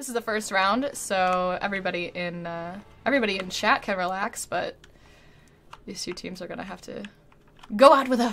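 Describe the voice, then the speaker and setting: A woman talks at a moderate pace with ordinary pitch variation. Hers is a plain, everyday voice. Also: big swings in loudness. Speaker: Overwatch tournament caster. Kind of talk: esports match commentary, play-by-play.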